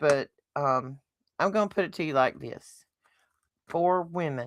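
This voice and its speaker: A woman's very deep, low voice in a Southern US accent, at a fairly slow pace with ordinary pitch variation. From US South. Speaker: podcast host. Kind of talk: casual chat. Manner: animated.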